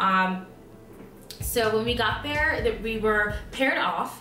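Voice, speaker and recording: A woman with a fairly high pitch is heard through audible room echo and noticeable background noise. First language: not English. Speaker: nursing student vlogger. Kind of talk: casual vlog. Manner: many filler ums.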